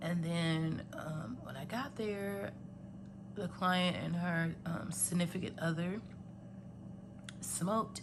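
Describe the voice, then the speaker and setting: In a room with audible echo, a woman speaks at a very slow pace with long, frequent pauses, her pitch fairly low and ordinarily varied. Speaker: budgeting vlogger and healthcare worker. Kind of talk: casual vlog talk and money counting tutorial. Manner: conversational with many fillers.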